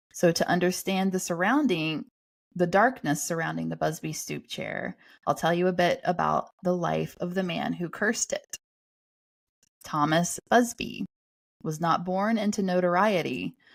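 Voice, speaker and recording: Over a very clean recording with a silent background, a woman with a Southern US accent speaks at a moderate pace. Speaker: podcast host. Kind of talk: reading aloud.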